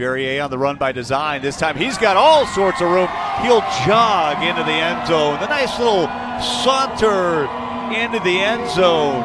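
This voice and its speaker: A man speaks at a fairly slow pace with very wide pitch swings. Background noise is noticeable. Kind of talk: live play-by-play sports commentary.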